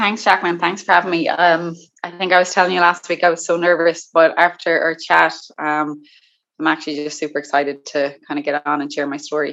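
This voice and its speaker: Speaking with an Irish accent, a woman uses a fairly low pitch and fairly even intonation at a fairly quick pace. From Ireland, County Limerick. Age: 20s. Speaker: guest sharing eating disorder recovery story. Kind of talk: personal testimony interview.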